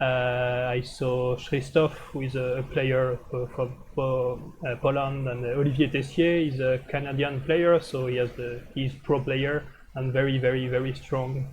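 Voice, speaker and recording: With a French accent, a man at medium pitch speaks in a somewhat breathy voice with monotone, flat intonation. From France. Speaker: streamer commenting board games. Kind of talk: live game commentary stream. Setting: live stream. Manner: hesitant, many filler uh.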